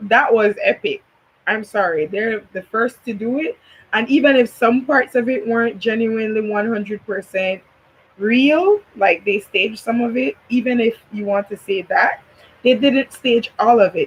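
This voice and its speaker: Here is a woman with a Belizean accent. Her voice is fairly high in pitch and somewhat breathy. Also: ordinary pitch variation, moderate pace. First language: Belizean Creole. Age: 20s. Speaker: YouTuber, commentary vlogger. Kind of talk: casual commentary chat.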